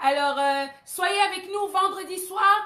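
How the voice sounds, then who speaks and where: Raised and projected amid audible room echo, a woman's bright, sharp voice moves at a very slow pace with fairly even intonation. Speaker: pastor. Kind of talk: sermon. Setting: live stream. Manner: hesitant, many euh fillers.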